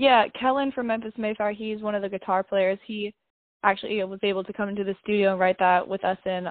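Here a woman has a normal speaking voice at a medium pitch. She moves at a fairly quick pace, and her intonation is fairly even. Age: 20s. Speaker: metal band vocalist and bass player. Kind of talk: casual interview.

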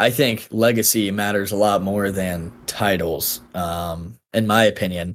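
Speaking at a fairly slow pace, a man with an American accent uses a plain, everyday voice, fairly low in pitch and fairly even in intonation. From Texas, then North Carolina. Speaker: former college football kicker. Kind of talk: casual chat. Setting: video call.

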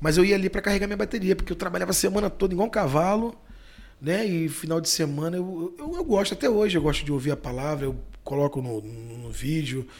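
A man rattles off his words at a very fast pace, with ordinary pitch variation. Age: 40s. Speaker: bar owner and natural gas vehicle businessman. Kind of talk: casual interview.

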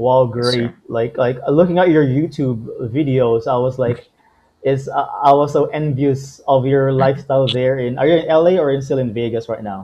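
With an unremarkable speaking voice, a man talks at a moderate pace, pitched in the medium range, his intonation fairly even. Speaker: podcast host. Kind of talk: casual interview.

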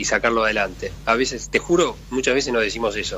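Noticeable background noise surrounds a man with a Rioplatense accent. He speaks at a fairly quick pace and medium pitch, with ordinary pitch variation. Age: 50s. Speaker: sports federation president. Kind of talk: interview. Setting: phone call. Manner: halting.

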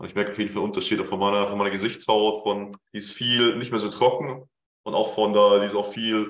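A man at a fairly low pitch, fairly quick in pace, with monotone, flat intonation. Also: big swings in loudness. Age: 20s. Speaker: fitness coach. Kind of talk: casual chat.

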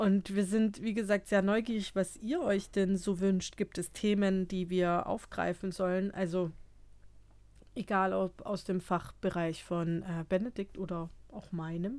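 Very cleanly recorded against a silent background, a woman at medium pitch speaks fairly slowly with fairly even intonation. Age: 30s. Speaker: psychotherapist and podcast co-host. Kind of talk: casual chat.

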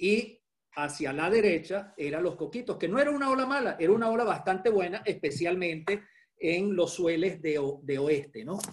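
The speaking pace is moderate. The intonation is lively. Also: man, high pitch for a man. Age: 60s. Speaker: surfer and architect. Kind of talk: interview storytelling.

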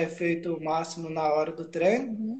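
Fairly quick, fairly even speech from a man. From Minas Gerais, Brazil (Ubá). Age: 30s. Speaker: capoeira practitioner living with Parkinson's. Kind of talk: interview on a live stream.

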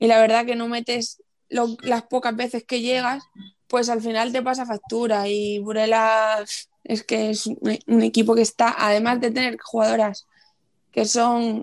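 Flat and monotone, a woman talks at a fairly slow pace in a fairly high pitch. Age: 20s. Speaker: futsal player. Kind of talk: interview.

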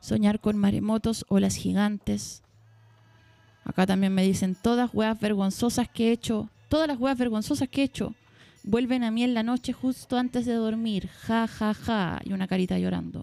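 At a moderate pace, a woman with a Chilean accent speaks at a fairly high pitch with fairly even intonation, her sound dry and close with no echo. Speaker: podcast host. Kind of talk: casual chat.

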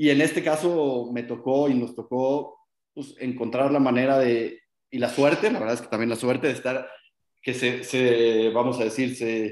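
At a fairly slow pace, a man speaks in an unremarkable speaking voice of medium pitch. His intonation is fairly even. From Mexico, Guadalajara. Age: 30s. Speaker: short-term rental company executive. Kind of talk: interview.

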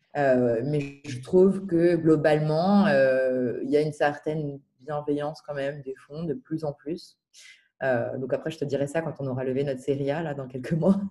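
A woman speaks with a very deep, low pitch and fairly even intonation. Her loudness swings a lot. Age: 20s. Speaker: startup founder. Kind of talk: interview. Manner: hesitant, many filler words.

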